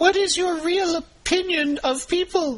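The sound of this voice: A put-on character voice at an extremely high pitch, moving at a moderate pace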